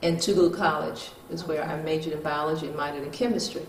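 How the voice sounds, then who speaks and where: Over noticeable background noise and audible room echo, a woman talks in a very deep, low pitch with fairly even intonation. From US South, Mississippi. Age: 70s. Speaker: retired neurosurgeon. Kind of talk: interview. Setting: in her home. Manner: halting, many fillers.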